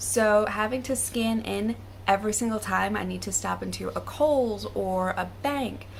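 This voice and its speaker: The speaker is a woman with an American accent. She talks at a moderate pace. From United States. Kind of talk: casual talk to camera.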